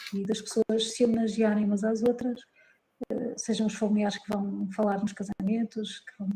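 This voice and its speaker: Speaking at a moderate pace, a woman uses a fairly high voice with monotone, flat intonation. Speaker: psychologist and wedding celebrant. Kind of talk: interview conversation. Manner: calm; hesitant fillers.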